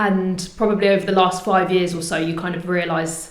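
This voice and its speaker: A woman with a southern English accent, heard with audible room echo and noticeable background noise. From England, Portsmouth. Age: 30s. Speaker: community group founder. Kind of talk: interview.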